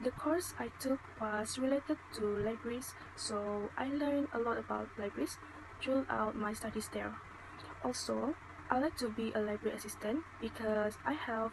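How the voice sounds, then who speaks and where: A woman speaks at a moderate pace in a fairly high voice with ordinary pitch variation. Noticeable background noise can be heard. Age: 20s. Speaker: student. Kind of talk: mock job interview. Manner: formal.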